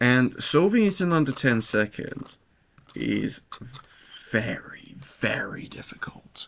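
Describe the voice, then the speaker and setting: A man whispers at a very slow pace, with long and frequent pauses. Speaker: speedcuber streamer. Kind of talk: casual live stream chat. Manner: hesitant, repeats words.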